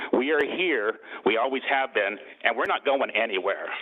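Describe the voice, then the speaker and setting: Over noticeable background noise, a man speaks at a medium pitch with lively intonation. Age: 60s. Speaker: public commenter at city council meeting. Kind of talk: public comment speech. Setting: city council meeting.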